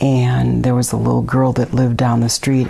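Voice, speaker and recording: A woman's voice in an American accent, with noticeable background noise behind it. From Milwaukee, Wisconsin. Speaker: neighborhood resident interviewee. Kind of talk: oral history interview. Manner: hesitant, many fillers.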